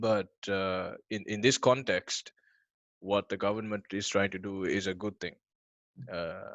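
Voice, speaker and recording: With monotone, flat intonation and long, frequent pauses, a man talks at a fairly slow pace and a fairly low pitch. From Sri Lanka. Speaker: discussion participant. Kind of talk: online group discussion. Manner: halting.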